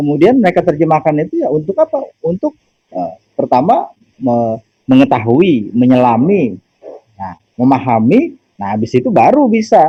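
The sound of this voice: This man's voice sits at a fairly high pitch and has a slightly husky edge. His pitch swings are big. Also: moderate pace.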